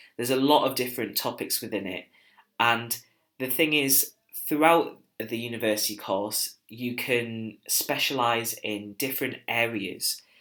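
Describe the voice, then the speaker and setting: A man at a medium pitch with a bright, sharp tone, fairly even intonation, and a fairly slow pace. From northeast England. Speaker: university student. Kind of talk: recorded presentation. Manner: hesitant, with filler words.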